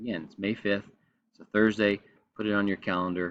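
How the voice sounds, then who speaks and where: Speaking in an American accent, a man uses a fairly low pitch. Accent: slight Texan, comes out occasionally. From Texas. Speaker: high school teacher. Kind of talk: recorded presentation to parents.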